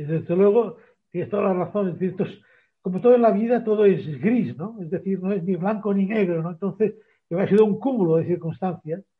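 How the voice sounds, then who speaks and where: The pitch varies in an ordinary way. The pace is fairly quick. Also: man, high pitch for a man. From Barcelona, Spain. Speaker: trade fair consultant and professor. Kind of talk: interview.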